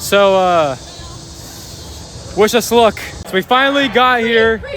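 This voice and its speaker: Noticeable background noise accompanies talking delivered at a fairly slow pace. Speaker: podcast host documenting protest. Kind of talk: on-the-street vlog narration. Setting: outdoors at a protest march. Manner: casual, filler-heavy.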